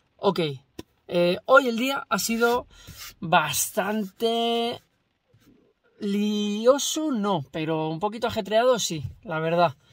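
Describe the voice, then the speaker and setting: A man speaks very slowly in a high pitch, leaving long, frequent pauses. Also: dry sound with no echo. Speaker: vlogger. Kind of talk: casual vlog chat. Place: car.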